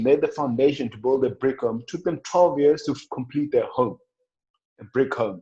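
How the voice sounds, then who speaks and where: Over a quiet background, a man speaks at a moderate pace in a fairly high voice. His tone is dark and mellow, and somewhat breathy. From South Africa, Limpopo rural. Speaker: professional rugby player. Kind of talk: podcast interview. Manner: halting, repeats words.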